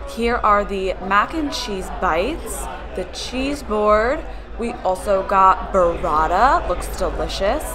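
A woman speaks at a very slow pace. Music plays in the background. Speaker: vlogger. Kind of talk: casual vlog chat. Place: bar. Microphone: phone near.

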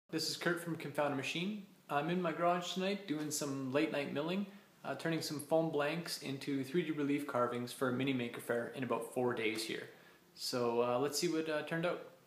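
A man talks at a fairly quick pace with ordinary pitch variation, and audible room echo surrounds his voice. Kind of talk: casual vlog chat. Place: garage. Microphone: phone near.

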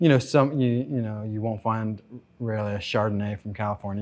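A man with an American accent speaks at a moderate pace in a normal speaking voice, his medium pitch moving with ordinary variation over a quiet background. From Florida, West Palm Beach. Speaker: chef and restaurant owner. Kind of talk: casual interview.

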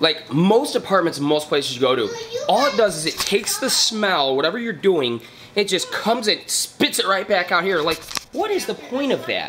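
A man talks at a moderate pace in a high pitch. Crowd noise can be heard behind him. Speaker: home cook vlogger. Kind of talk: casual vlog chat. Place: kitchen. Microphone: phone near.

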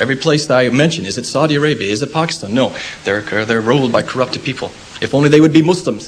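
A man with an American accent talks at a very fast pace with ordinary pitch variation. There is light background noise. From United States. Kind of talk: public debate. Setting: lecture hall with audience. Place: hall.

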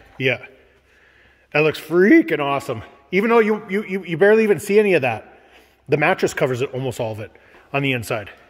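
A man talks at a very fast pace in a fairly high pitch, and his pitch swings very widely. Long, frequent pauses break up his speech, and music plays in the background. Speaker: DIY home build vlogger. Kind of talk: casual vlog chat. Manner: animated.

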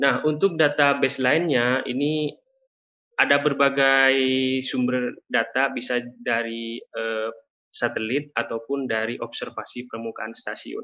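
A man's fairly slow delivery keeps a fairly even intonation, with a quiet background. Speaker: climate data presenter; presenter. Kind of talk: webinar presentation. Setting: video call. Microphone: video call.

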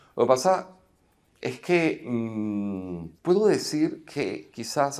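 A man speaks very slowly over a quiet background. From Venezuela (Caracas). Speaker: filmmaker and actor; actor. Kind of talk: interview. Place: hall. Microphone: lapel.

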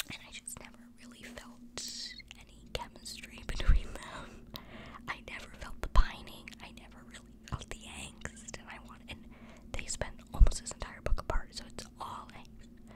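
Every word comes out in a whisper. The pace stays moderate. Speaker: ASMR content creator / book reviewer. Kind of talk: casual book review ramble to camera. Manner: whispered, soft. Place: home room. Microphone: studio mic.

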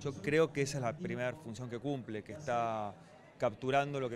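A man is speaking, with a dry sound and no echo. Light background noise can be heard. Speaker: event spokesperson. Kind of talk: interview answer. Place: office. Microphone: handheld.

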